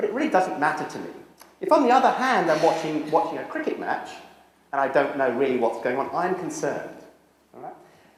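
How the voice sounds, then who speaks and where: A man with a British accent talks very fast with lively intonation, with audible room echo and noticeable background noise. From Britain. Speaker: social psychology professor. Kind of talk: lecture. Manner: walks around while speaking.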